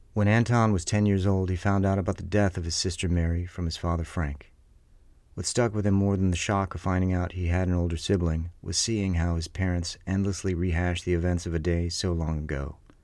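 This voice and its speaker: In a very deep, low pitch, a man speaks at a fairly quick pace with fairly even intonation. His tone is dramatic. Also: quiet background. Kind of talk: true-crime narration. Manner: hushed, tense, dramatic storytelling.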